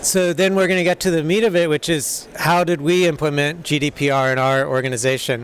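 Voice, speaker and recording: This man speaks with an American accent at a fairly quick pace and a fairly high pitch, with ordinary pitch variation, very even loudness and hardly any pauses, over noticeable background noise. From United States. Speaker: software developer, conference speaker. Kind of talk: conference talk. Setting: stage with audience. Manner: hesitant, many fillers.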